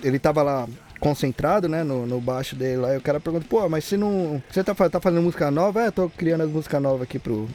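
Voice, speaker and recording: The speech moves at a very fast pace. Its pitch variation is ordinary. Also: man, fairly high pitch for a man. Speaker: podcast host. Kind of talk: casual chat.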